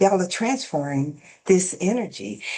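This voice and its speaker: A woman's fairly low voice at a fairly slow pace, with very wide pitch swings. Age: 50s. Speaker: podcast host and coach. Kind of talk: casual interview chat.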